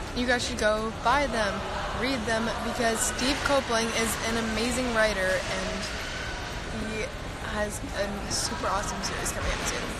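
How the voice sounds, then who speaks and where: Over loud background noise, a woman speaks at a fairly slow pace. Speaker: live streamer. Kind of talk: casual vlog chat. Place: station. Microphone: phone near.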